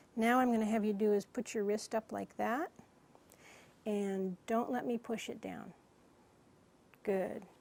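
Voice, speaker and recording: The speaker is a woman with a fairly high pitch. She keeps a fairly even intonation and a fairly slow pace. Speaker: clinician giving a physical exam. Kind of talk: medical exam instruction to a patient.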